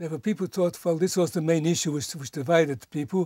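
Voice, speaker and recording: Over a quiet background, a man with a fairly high pitch and ordinary pitch variation has a dark, mellow tone in a dry sound with no echo. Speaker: nuclear physicist, Nobel Peace laureate. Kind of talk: interview answer. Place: home room.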